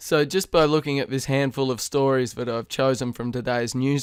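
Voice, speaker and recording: A man with an Australian accent speaks at a medium pitch with fairly even intonation. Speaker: crypto news presenter. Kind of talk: news reading. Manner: formal.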